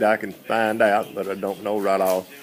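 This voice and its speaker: A man talks with an American accent at a moderate pace. Noticeable background noise runs behind him. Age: 60s. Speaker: mule seller. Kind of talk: sales pitch. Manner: halting.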